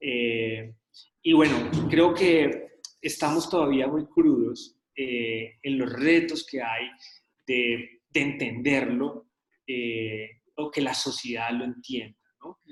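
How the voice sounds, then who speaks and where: Man at a very slow pace with ordinary pitch variation. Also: medium pitch for a man, big swings in loudness. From Colombia, raised in Medellín. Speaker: journalism course instructor. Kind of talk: online lecture discussion. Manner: hesitant, many fillers.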